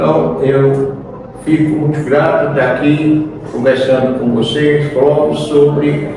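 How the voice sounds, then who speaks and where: This man talks at a very slow pace in a fairly high pitch, his intonation fairly even. Noticeable background noise and audible room echo fill the recording. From Brazil, Sergipe (Boquim). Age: 70s. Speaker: retired agronomist and businessman. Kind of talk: radio interview. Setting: on location at a gas station, radio broadcast. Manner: halting, many fillers.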